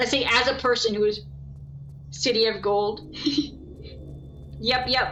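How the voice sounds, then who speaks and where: Over background music in a room with audible echo, a woman with an American accent speaks slowly-ish at a fairly slow pace, fairly high in pitch, with fairly even intonation, very even loudness and long, frequent pauses. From US South. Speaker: gaming streamer. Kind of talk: casual chat. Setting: live stream. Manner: gets louder over the stream.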